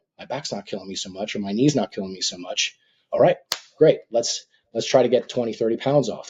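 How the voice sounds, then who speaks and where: At a fairly quick clip, a man speaks in a plain, everyday voice, his pitch varying in an ordinary way. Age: 50s. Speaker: physician. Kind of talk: interview.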